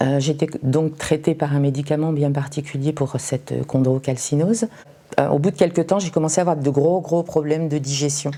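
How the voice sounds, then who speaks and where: Noticeable background noise sits behind a woman whose very deep, low pitch holds a fairly even intonation. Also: moderate pace. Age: 60s. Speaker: cancer patient. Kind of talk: testimony. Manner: hesitant, many fillers.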